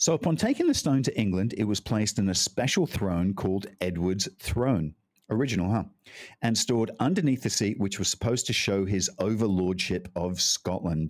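In a very clean recording with a silent background, a man with a plain, everyday voice speaks at a moderate pace and a fairly low pitch, with ordinary pitch variation and very even loudness. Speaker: historian and co-host. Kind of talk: casual chat.

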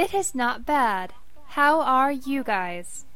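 A female-sounding, put-on character voice is pitched high for a woman. It moves at a very slow pace. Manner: robotic, stilted.

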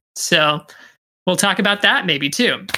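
In a very clean recording with a silent background, a woman speaks in a plain, everyday voice at a moderate pace and a fairly low pitch. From Pittsburgh, US (born in Australia, moved at six). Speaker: actor. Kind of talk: casual chat.

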